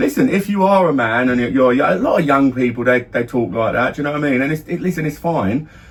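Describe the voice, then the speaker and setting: Fairly high in pitch, a man races along at a very fast pace with hardly any pauses and lively intonation, with noticeable background noise. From London area, England. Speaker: podcast co-host, father. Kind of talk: casual chat. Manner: halting, repetitive false starts.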